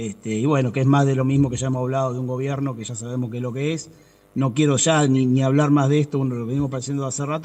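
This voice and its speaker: At a very fast pace, a man delivers his words in a monotone, flat intonation. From Argentina, Buenos Aires province. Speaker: civilian worker union representative. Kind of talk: interview.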